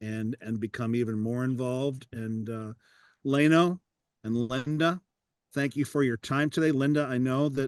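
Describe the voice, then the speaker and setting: An unremarkable speaking voice moves at a moderate pace with fairly even intonation. The sound is dry and close, with no echo. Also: man. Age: 60s. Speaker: podcast host and public speaker. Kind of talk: casual interview chat. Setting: video call.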